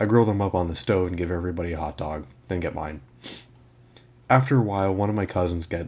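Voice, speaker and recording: A man puts on a raspy character voice with a very deep, low pitch. He speaks very fast with fairly even intonation. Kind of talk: horror story reading. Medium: read story. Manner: casual, self-correcting, stumbling over words.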